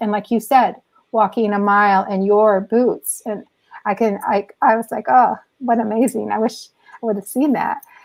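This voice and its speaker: Here a woman speaks at a fairly high pitch with ordinary pitch variation. Her pace is moderate. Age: 60s. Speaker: artist. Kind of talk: interview. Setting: live online show. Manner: halting.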